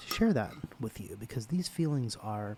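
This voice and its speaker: Soft-spoken and relaxed in tone, a man talks at a moderate pace with lively intonation. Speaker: ASMR creator. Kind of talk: soft-spoken ASMR personal attention ramble. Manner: soft-spoken, intimate, relaxed.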